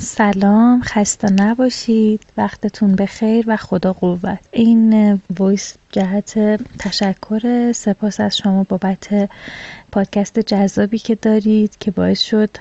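With very even loudness, a woman speaks at a medium pitch and a very slow pace in a monotone, flat intonation. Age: 30s. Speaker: listener sending a voice message. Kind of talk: recorded listener voice message. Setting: self-recorded voice message.

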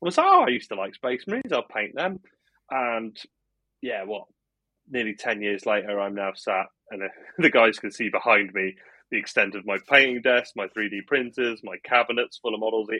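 A man with an English accent speaks at a moderate pace and medium pitch, with ordinary pitch variation and long, frequent pauses. His tone is bright and sharp, the sound dry and close with no echo against a quiet background. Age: 30s. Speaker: podcast host. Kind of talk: casual chat.

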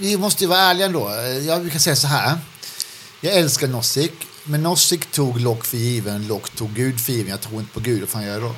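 A man's medium-pitched voice with lively intonation at a fairly quick pace, music playing in the background. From Skåne, southern Sweden. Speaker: podcast co-host. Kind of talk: casual Q&A discussion.

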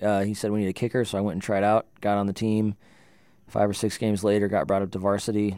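On a very clean recording with a silent background, a man with an American accent and a fairly low pitch speaks very fast. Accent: slight North Dakota creep, mostly avoided. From Northern California (Livermore). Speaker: singer-songwriter. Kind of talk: casual interview chat.

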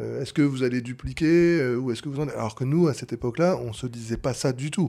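In a very clean recording with a silent background, a man with a dark, mellow tone speaks at a medium pitch and fairly quick pace, with ordinary pitch variation. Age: 30s. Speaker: bar franchise co-founder. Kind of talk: interview. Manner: hesitant.

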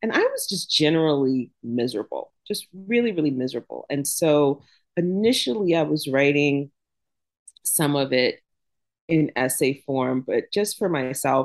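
With an American accent, a woman speaks in a very deep, low voice with lively intonation. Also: moderate pace. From US South, Jacksonville, Florida. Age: 50s. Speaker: author. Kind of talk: interview.

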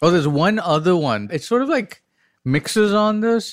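Recorded very cleanly against a silent background, a man with a Tamil accent sounds dry and close, with no echo. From India, Chennai. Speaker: panelist guest. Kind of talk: casual chat.

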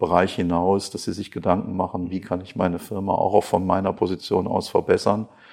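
Against a quiet background, a man with a very deep, low pitch and a dark, mellow tone speaks at a moderate pace. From western Germany, Krefeld (North Rhine-Westphalia). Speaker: company managing director, chemist. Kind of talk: interview. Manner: hesitant, many fillers and repetitions.

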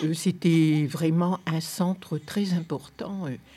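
Somewhat breathy, a woman speaks at a fairly low pitch in a dark, mellow tone. The recording is very clean, with a silent background. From northern France, Lomme near Lille. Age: 80s+. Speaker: longtime resident. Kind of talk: reminiscing interview.

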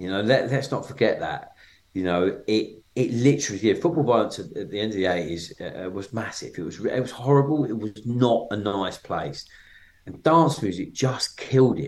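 Lively intonation marks this voice with a southeast English accent. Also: man, medium pitch for a man, moderate pace. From Kent, southeast England. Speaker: DJ and record label owner. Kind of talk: interview conversation. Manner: hesitant, filler-heavy.

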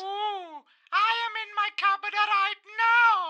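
A put-on character voice, squeaky and extremely high-pitched, at a very slow pace. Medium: audio drama. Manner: blunt, interrupting.

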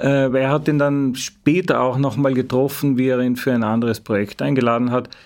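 A man with an Austrian accent at a medium pitch, fairly quick, with hardly any pauses, very even loudness and fairly even intonation. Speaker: journalist. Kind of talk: interview. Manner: halting.

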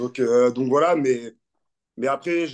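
Against a quiet background, a man's speech unfolds at a fairly slow pace. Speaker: former professional rugby player. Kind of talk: interview. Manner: halting.

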